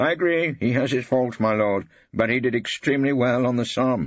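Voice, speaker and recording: A man speaks with vocal fry at a medium pitch. His pace is moderate. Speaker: audiobook narrator. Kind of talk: audiobook reading. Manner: dry, wry.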